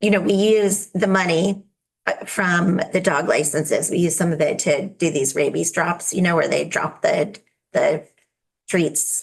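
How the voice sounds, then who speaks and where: The speaker is somewhat breathy and moves at a fairly slow pace. The loudness stays very even. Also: woman, fairly low pitch for a woman. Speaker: state legislator, bill sponsor. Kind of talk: committee testimony. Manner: hesitant, many fillers.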